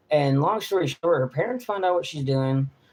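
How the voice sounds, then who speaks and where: An animated tone with an East Texas accent at a fairly quick pace. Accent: East Texas Southern US. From East Texas (Lufkin). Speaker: traveling nomad vlogger. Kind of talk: live stream Q&A chat. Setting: live stream. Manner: animated, profane rant.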